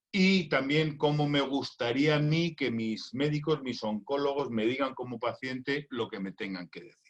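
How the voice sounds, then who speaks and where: Using a normal speaking voice, a man talks at a fairly slow pace and fairly high pitch, with ordinary pitch variation and big swings in loudness. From Spain. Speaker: doctor and cancer patient. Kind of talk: recorded conference talk.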